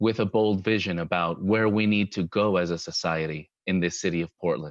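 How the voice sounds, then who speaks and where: A man with a Spanish accent talks at a moderate pace with fairly even intonation. The sound is dry and close with no echo, over a quiet background. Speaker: mayoral candidate, architect. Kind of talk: candidate forum opening statement.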